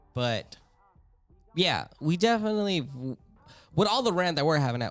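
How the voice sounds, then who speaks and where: A man speaks loudly at a fairly quick pace with very wide pitch swings. Music plays in the background. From US, Filipino-American family. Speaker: podcast host. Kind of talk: casual chat.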